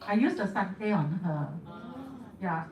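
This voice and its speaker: A woman at a moderate pace and medium pitch, lively intonation, noticeable background noise and audible room echo. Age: 70s. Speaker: beauty therapist and product distributor. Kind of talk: testimony.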